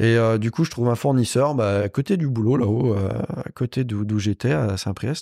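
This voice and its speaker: A dark, mellow tone comes through at a fairly slow pace with ordinary pitch variation, in a dry, close sound with no echo and a very clean recording on a silent background. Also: man, medium pitch for a man. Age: 30s. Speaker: motorcycle and car upholsterer. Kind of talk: casual chat. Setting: his workshop.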